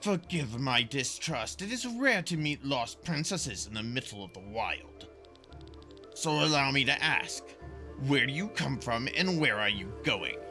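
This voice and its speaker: A man puts on a character voice at medium pitch with very wide pitch swings. He speaks at a moderate pace over clear music in the background. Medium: solo performance. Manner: cold, condescending.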